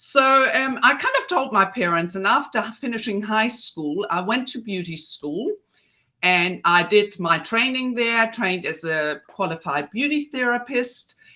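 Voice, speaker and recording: Very wide pitch swings from a woman with a fairly high pitch, a bright, sharp tone and a German accent. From northern Germany. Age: 50s. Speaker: face yoga specialist. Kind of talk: podcast interview. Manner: hesitant, with fillers.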